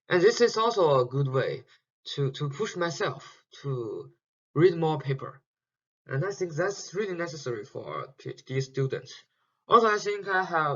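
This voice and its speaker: A man speaking at a high pitch with lively intonation and a moderate pace. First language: Chinese. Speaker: PhD student teaching an online course. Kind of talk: lecture. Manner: halting, many fillers and repetitions.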